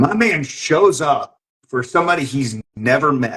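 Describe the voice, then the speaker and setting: An animated man with an American accent, fairly high in pitch, with lively intonation. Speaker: podcast host. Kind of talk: casual chat.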